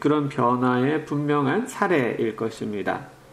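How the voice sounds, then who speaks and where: A man talks with ordinary pitch variation amid noticeable background noise and audible room echo. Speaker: professor. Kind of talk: lecture. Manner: halting.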